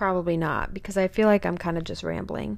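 A woman with a normal speaking voice talks at a moderate pace and medium pitch on a very clean recording with a silent background. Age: 20s. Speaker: podcast host. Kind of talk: casual monologue.

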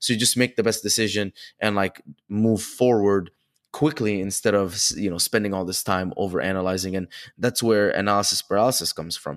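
Heard in a very clean recording with a silent background, a man with a plain, everyday voice talks at a fairly quick pace in a fairly low pitch with ordinary pitch variation. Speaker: podcast host. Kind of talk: casual interview chat.

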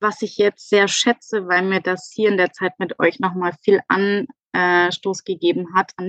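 A woman with a normal speaking voice, medium pitch and a fairly slow pace, in a dry, close sound with no echo. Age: 30s. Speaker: virtual assistant. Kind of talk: casual interview. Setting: in-person studio.

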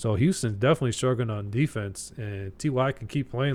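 Speaking at a fairly quick pace and medium pitch, a man has an ordinary speaking voice. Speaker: fantasy football podcast co-host. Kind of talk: casual chat.

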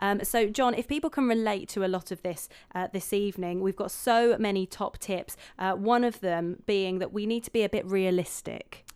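On a very clean recording with a silent background, a woman uses an ordinary speaking voice at a moderate pace, medium in pitch with ordinary pitch variation. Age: 20s. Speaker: radio host. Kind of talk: radio show presenting.

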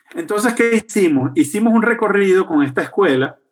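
A man is speaking. He keeps a moderate pace. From Venezuela, Caracas. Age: 50s. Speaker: journalist and urban activist. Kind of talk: interview. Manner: frequent repetitions and hesitations.

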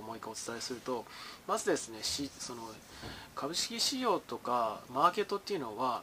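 Speaking at a moderate pace, a man moves through very wide pitch swings. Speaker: market commentator. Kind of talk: solo commentary. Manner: casual, with many fillers.

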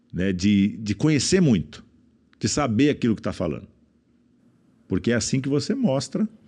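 With long, frequent pauses at a moderate pace, a man talks in very wide pitch swings. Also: medium pitch for a man. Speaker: businessman and speaker. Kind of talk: casual chat.

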